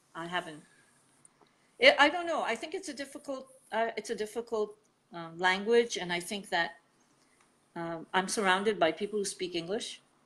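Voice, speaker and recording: The voice has a bright, sharp tone and lively intonation, with big swings in loudness. It moves at a moderate pace with long, frequent pauses. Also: woman, medium pitch for a woman. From Italy. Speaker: artist, writer and management consultant. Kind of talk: interview conversation. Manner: halting, with many repeated words.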